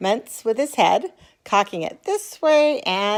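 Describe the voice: Someone does plain reading aloud, the intonation lively throughout.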